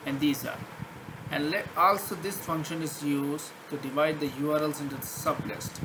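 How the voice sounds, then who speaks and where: Audible room echo and noticeable background noise surround this recording of a man. He has a non-native accent and a fairly high voice. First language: not English. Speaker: programming tutor. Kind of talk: screen-share coding tutorial. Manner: halting, many fillers and restarts.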